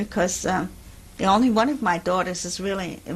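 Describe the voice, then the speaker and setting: With a German accent, a woman speaks at a moderate pace. Her pitch shows ordinary variation. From Germany. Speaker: Holocaust refugee. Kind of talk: oral history interview. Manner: halting.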